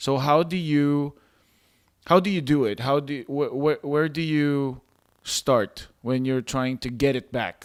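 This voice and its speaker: Non-native accent at a moderate pace, with a dry, close sound and no echo. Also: man. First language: not English. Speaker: podcast host. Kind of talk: interview.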